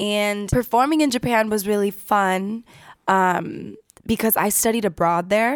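Speaking with a Californian accent, a woman uses a medium pitch, ordinary pitch variation and very even loudness on a very clean recording with a silent background. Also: fairly slow pace. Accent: Californian American English. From US West Coast, San Diego, California. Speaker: singer. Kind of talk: interview.

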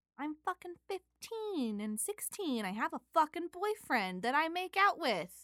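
A woman speaks at an extremely high pitch with very wide swings, her tone bright and sharp. Her pace is fairly slow with hardly any pauses, and the sound is dry and close with no echo. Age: 20s. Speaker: podcast host's wife reading the Bible. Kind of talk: casual chat. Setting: home studio.

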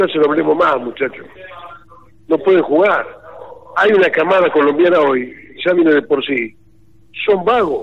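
Over noticeable background noise, a man with fairly high pitch talks at a moderate pace with ordinary pitch variation. His loudness stays very even, and his speech has long, frequent pauses. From Argentina, Pergamino. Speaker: sports commentator and journalist. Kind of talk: casual interview. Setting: phone call.

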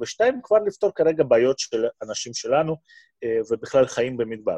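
Lively intonation comes through a dry, close sound with no echo over a quiet background. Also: man. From Russia, Moscow. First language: Russian (speaking Hebrew). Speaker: physician and medical researcher. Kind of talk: interview.

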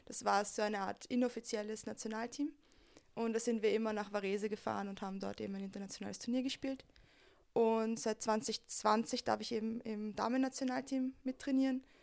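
A woman's normal speaking voice at a fairly quick pace, with fairly even intonation. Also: fairly high pitch for a woman. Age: 20s. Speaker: flag football player and youth coach. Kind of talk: interview.

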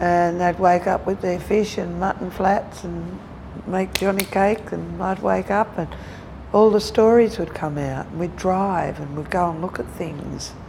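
A woman talks at a fairly slow pace with a medium pitch. Noticeable background noise can be heard. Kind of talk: interview, life story. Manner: halting.

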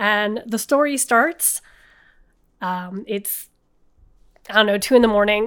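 Against a silent background in a very clean recording, a woman speaks. Her pitch is fairly high and her pace fairly slow. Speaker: guest storyteller. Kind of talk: casual storytelling.

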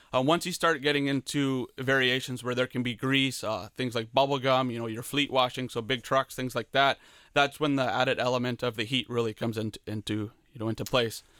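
A man with a Canadian accent speaks fairly quickly at a medium pitch, with fairly even intonation and a bright, sharp tone. The sound is dry and close with no echo, in a very clean recording with a silent background. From southwestern Ontario, Canada (Leamington). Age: 20s. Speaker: small business owner. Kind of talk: radio interview.

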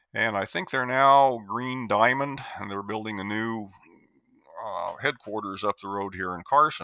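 A man with an American accent speaks in a normal speaking voice at a fairly slow pace, his fairly low pitch showing ordinary variation while his loudness swings widely. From US Midwest, Iowa. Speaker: retired extension forester. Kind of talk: interview.

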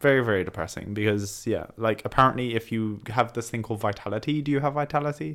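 A man with a British accent speaks at a very fast pace in a medium pitch. His pitch variation is ordinary, and the recording is very clean with a silent background. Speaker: podcast host. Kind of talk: casual chat.

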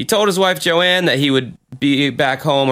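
This man speaks at a moderate pace. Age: 30s. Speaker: podcast host. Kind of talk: casual banter. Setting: remote recording. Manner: profane, casual.

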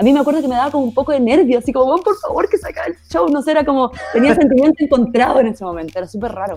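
In a Chilean accent, a woman talks at a very fast pace with hardly any pauses, a high pitch and very wide pitch swings, over noticeable background noise. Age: 30s. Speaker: actress and producer. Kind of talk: casual chat. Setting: remote recording.

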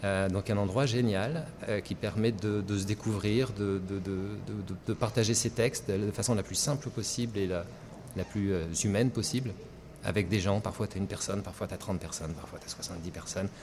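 A man talks at a moderate pace and fairly low pitch. His delivery is somewhat breathy, with ordinary pitch variation. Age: middle-aged. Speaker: singer-songwriter. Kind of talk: radio interview. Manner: animated.

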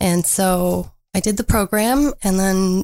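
An unremarkable speaking voice from a woman at medium pitch, fairly even intonation and a dry, close sound with no echo. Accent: Canadian. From northern Ontario, Canada. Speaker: artist. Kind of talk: radio interview. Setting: studio.

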